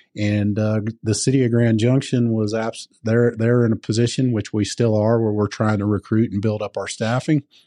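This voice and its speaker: Against a quiet background, a man with a Southern US accent talks at a moderate pace and medium pitch, his dark, mellow tone delivered in monotone, flat intonation with a dry, close sound and no echo. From US South (Georgia). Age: 50s. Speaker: firefighter. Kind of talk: casual interview.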